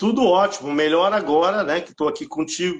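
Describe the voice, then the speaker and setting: This is a man speaking. His pitch is high. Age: 60s. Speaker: retreat participant, retiree. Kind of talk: interview testimony.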